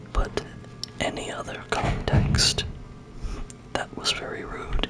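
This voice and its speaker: Whispering at a very slow pace, the voice sounds over music in the background. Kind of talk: ASMR gaming let's play. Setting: dorm room at desk. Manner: whispered.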